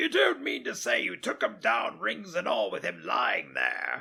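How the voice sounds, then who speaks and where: A raspy, put-on character voice from a man at a moderate pace. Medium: read story. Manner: wheedling, haggling.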